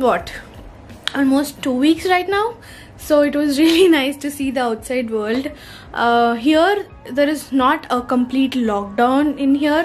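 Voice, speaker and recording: A high-pitched woman's voice at a fairly slow pace, with faint music in the background. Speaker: vlogger. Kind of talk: casual vlog chat. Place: home room. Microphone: phone near.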